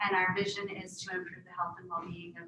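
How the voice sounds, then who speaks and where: Audible room echo surrounds a woman who speaks with an American accent at a fairly low pitch. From Wisconsin, Menominee Reservation. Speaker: health professions center director, panelist. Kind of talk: panel talk, self-introduction. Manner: hesitant, many fillers.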